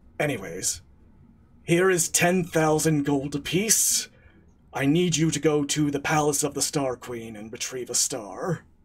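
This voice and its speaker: A man puts on a character voice, fairly high in pitch. He speaks at a fairly slow pace with ordinary pitch variation. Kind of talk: comic mock-mysterious. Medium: actual play. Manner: dryly self-deprecating.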